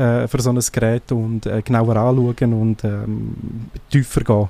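A man's dark, mellow voice with a Graubünden Swiss accent, fairly even intonation, and a dry, close sound with no echo. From eastern Switzerland, Graubünden / Sarganserland. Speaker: tech blogger and podcaster. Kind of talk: casual radio interview. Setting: radio studio.

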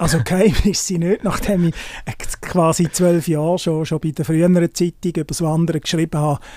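A man's high-pitched voice at a fairly quick pace, fairly even in intonation, with a dry, close sound and no echo. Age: 50s. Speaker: journalist and hiking blogger. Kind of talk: interview.

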